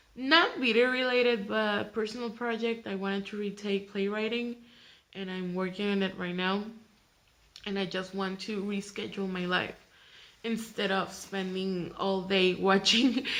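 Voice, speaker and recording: A woman speaks at a moderate pace with a Mexican accent. Her pitch is medium and her intonation fairly even. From Mexico, Tijuana. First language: Spanish. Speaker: vlogger. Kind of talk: casual vlog introduction. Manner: halting, many fillers and restarts.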